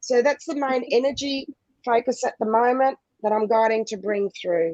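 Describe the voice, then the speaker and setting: A woman speaks loudly and passionately at a high pitch, with ordinary pitch variation and a moderate pace. Her tone is dark and mellow, and the sound is dry and close with no echo. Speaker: spiritual guide. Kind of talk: guided visualization.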